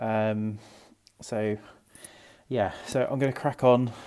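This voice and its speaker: Over a quiet background, a man's voice carries a dark, mellow tone. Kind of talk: casual vlog chat. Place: hall. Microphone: earbuds.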